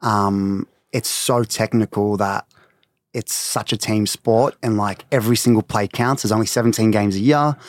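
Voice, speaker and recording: A man talks with an Australian accent and fairly even intonation. The sound is dry and close with no echo, on a very clean recording with a silent background. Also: fairly low pitch for a man, moderate pace. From Melbourne, Australia. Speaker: beauty brand co-founder. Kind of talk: casual interview.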